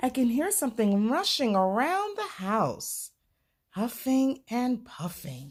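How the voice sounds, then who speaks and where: A woman's put-on character voice, high-pitched with very wide pitch swings, at a fairly slow pace on a very clean recording with a silent background. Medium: read story. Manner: timid, pleading.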